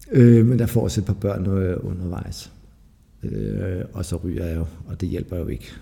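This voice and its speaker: A man talks at a fairly slow pace with lively intonation and vocal fry. His pitch is very deep and low, and his tone is dark and mellow. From Denmark, Lolland. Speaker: recovering addict. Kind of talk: testimony. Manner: halting.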